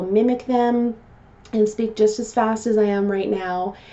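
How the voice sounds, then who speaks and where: A woman with a normal speaking voice keeps a moderate pace, her pitch varying in an ordinary way. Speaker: customer service trainer and vlogger. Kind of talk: vlog talk to camera.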